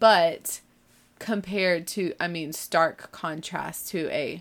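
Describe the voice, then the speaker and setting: A woman speaks with a slight Southern US accent. Her pitch varies in an ordinary way. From US South (born in Texas). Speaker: podcast host, homeschooling mom. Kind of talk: casual monologue. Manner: animated.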